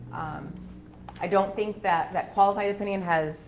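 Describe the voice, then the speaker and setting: Through noticeable background noise and audible room echo, a woman talks at a moderate pace with monotone, flat intonation. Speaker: auditor. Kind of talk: presentation to city council. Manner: loud; hesitant, many fillers.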